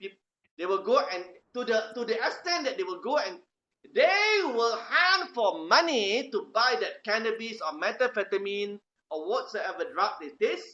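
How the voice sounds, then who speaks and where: A loud man with a Malaysian accent talks at a moderate pace and an extremely high pitch, with very wide pitch swings. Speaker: lecturer. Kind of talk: lecture. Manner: animated.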